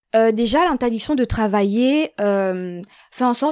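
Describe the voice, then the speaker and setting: A woman speaks in an ordinary speaking voice, fairly high in pitch, with ordinary pitch variation. The recording is very clean and silent in the background, with a dry, close sound and no echo. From Gabon. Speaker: student. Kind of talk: interview.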